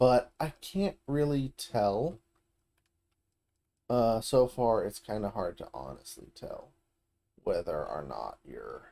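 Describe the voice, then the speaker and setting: Very slow delivery. Long pauses come often. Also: man. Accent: American. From US South. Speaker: video game streamer. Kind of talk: gameplay commentary. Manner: casual, conversational.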